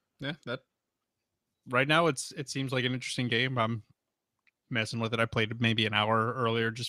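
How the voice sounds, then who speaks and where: A man's bright, sharp voice at medium pitch, moderate pace and fairly even intonation, in a dry, close sound with no echo. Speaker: podcast co-host. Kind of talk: casual chat.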